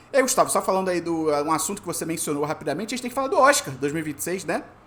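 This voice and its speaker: Very fast and animated, a man speaks at a high pitch with very wide pitch swings over noticeable background noise. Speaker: podcast host. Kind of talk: casual chat.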